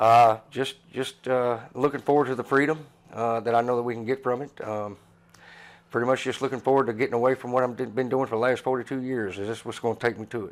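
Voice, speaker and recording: A man talks very fast at a medium pitch in a monotone, flat intonation. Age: 60s. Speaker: drywall contractor. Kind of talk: interview. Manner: halting.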